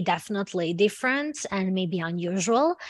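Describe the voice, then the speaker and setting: A woman with a Serbian accent. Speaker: university student representative. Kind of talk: online presentation. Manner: halting, many fillers.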